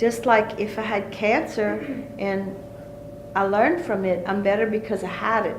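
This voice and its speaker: Over noticeable background noise and audible room echo, a woman talks at a medium pitch with ordinary pitch variation. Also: moderate pace. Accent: Cajun. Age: 60s. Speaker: folk healer. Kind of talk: interview.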